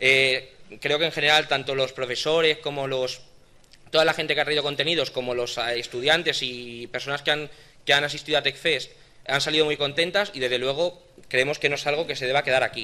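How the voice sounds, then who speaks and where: Fairly quick and fairly high-pitched, this man has a bright, sharp tone. His intonation stays fairly even. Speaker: event organizer. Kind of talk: event closing and award ceremony. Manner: hesitant, repeats words. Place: hall. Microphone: podium.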